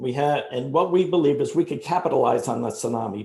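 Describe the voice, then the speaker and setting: A man with a New Jersey accent speaks at a fairly quick pace. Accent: New Jersey American. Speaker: startup founder pitching. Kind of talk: sales pitch. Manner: fast.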